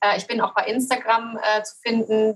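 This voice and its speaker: A woman talks with a fairly high pitch and a monotone, flat intonation. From Cologne, western Germany. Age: 40s. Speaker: photographer with multiple sclerosis. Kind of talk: interview, personal testimony.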